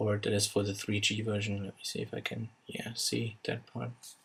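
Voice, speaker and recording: A man with a non-native accent speaks at a fairly slow pace and fairly low pitch, his somewhat breathy voice held to a monotone, flat intonation. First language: not English. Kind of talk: casual unboxing narration.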